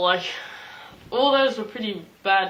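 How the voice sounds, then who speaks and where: Her voice has ordinary pitch variation, and a woman is heard. Audible room echo and noticeable background noise fill the recording. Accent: Australian. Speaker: YouTuber, movie vlogger. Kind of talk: casual vlog talk. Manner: fast; animated.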